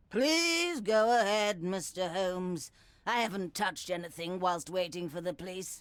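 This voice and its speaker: A woman does a put-on character voice at a medium pitch, moving at a moderate pace with ordinary pitch variation. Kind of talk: upper-class English. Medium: video game. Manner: haughty, indignant.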